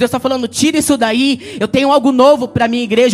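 The man's voice is extremely high in pitch. Noticeable background noise runs beneath it. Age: 40s. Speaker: pastor. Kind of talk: sermon. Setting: church. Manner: animated.

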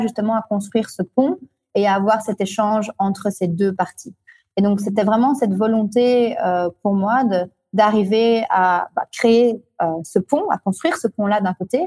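The tone is dark and mellow, somewhat breathy, with ordinary pitch variation. The sound is dry and close, with no echo. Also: woman. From Belgium, Brussels. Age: 30s. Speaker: entrepreneur. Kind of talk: interview.

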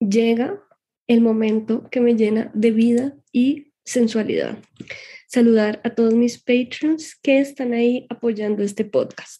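A woman's fairly high, dark, mellow voice at a very slow pace, with fairly even intonation and very even loudness. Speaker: podcast host. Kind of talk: scripted narration.

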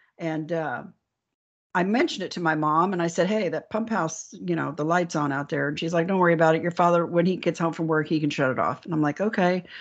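A woman talks at a very fast pace in a fairly low pitch. Her intonation is fairly even, and the background is quiet. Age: 60s. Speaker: alien abductee and author. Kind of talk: interview storytelling.

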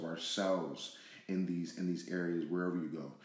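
The speech moves at a fairly quick pace, with audible echo from the room. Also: man. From Pasadena, California, US. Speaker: podcast co-host. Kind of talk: casual discussion. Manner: halting, many fillers.

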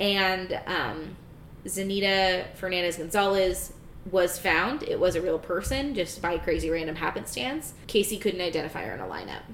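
In a normal speaking voice, a woman talks at medium pitch and a moderate pace with ordinary pitch variation. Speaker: podcast co-host. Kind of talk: casual chat.

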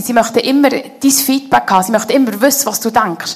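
Noticeable background noise accompanies a woman with a high pitch talking at a fairly quick pace. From Switzerland, canton of Bern (Konolfingen). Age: 30s. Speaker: head of a theology school, guest speaker. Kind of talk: church interview, personal testimony.

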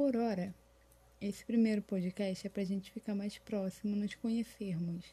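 A woman with a somewhat breathy, dark and mellow tone talks at a moderate pace, her medium pitch held in fairly even intonation. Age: 20s. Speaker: fashion designer and small business owner. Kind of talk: scripted podcast monologue.

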